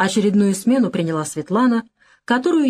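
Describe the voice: Lively intonation in plain reading aloud, quiet background.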